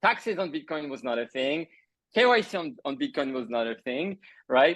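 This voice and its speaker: Someone with a French accent speaks at a moderate pace against a quiet background. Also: man. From France. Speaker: crypto entrepreneur. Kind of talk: interview.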